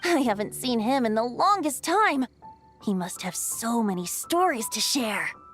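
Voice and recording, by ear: A woman's cartoonish character voice, fairly high-pitched and fairly bright, with big pitch swings, at a fairly slow pace, faint music in the background.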